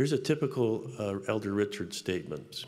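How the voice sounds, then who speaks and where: This man has a fairly low pitch. He speaks with an American accent. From US Pacific Northwest. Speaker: business school professor and dean; university professor speaker. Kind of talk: devotional address. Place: hall. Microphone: podium.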